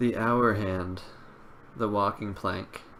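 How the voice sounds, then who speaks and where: There is audible room echo as a man with a fairly low pitch speaks at a fairly slow pace in a bright, sharp tone. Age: 30s. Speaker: poet. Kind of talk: poetry reading.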